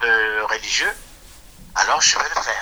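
A man at a fairly slow pace. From Republic of the Congo. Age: 60s. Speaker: retired anesthetist. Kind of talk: personal storytelling. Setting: phone call. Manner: halting.

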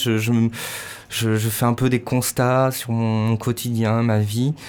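A man speaks at a very slow pace. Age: 30s. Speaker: musician. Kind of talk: interview. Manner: halting.

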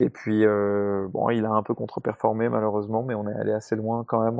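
A man with a plain, everyday voice speaks in a fairly low pitch at a fairly quick pace, his intonation fairly even. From Paris, France. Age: 30s. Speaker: racing driver and driver coach. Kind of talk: casual panel discussion.

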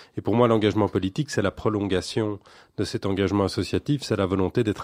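A man with an ordinary speaking voice talks at a fairly quick pace in a fairly low voice with fairly even intonation, the sound dry and close with no echo over a quiet background. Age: 40s. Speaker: local politician. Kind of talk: radio interview.

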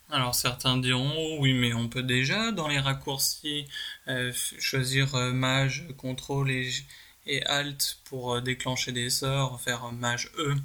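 Over noticeable background noise, a man at a medium pitch speaks very slowly in a monotone, flat intonation. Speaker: podcast segment presenter. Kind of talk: pre-recorded segment. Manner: hesitant with many ums.

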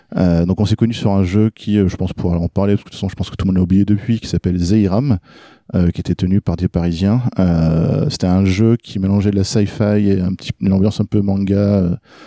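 Talking very fast, a man uses a fairly low pitch, a dark, mellow tone and fairly even intonation. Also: dry, close sound with no echo. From France. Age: 30s. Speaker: game designer and graphic artist. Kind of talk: podcast interview.

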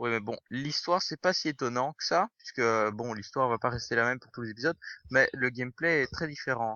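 This man speaks at a medium pitch and a fairly quick pace. His loudness swings widely, while his pitch varies in an ordinary way. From Belgium (Brussels). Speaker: podcast host. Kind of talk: casual chat.

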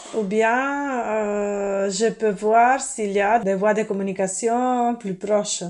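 This woman talks at a very slow pace, her intonation fairly even. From earthquake-prone country abroad. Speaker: interview guest. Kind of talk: role-play interview. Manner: hesitant.

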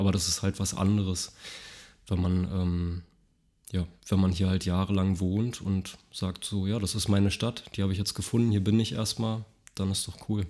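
In a very clean recording with a silent background, a man speaks at a moderate pace with a very deep, low pitch, a dark, mellow tone and fairly even intonation. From Berlin, Germany (grew up in Mitte, East Berlin). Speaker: carpenter and product designer. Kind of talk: casual interview.

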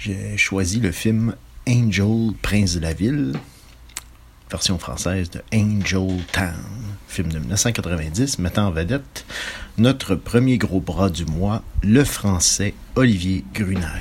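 A man talks at a very slow pace in a very deep, low voice. His intonation is lively, broken by long, frequent pauses. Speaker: film presenter. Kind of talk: film introduction.

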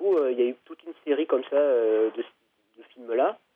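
Medium pitch and ordinary pitch movement in a man's voice. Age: 40s. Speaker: author. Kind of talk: interview. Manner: halting.

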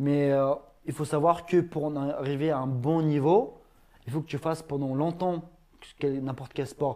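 The voice has a dark, mellow tone and moves at a fairly slow pace with fairly even intonation and long, frequent pauses. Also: man, fairly high pitch for a man. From Ingushetia, Russia. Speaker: YouTuber and MMA fighter. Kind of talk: casual talk show interview.

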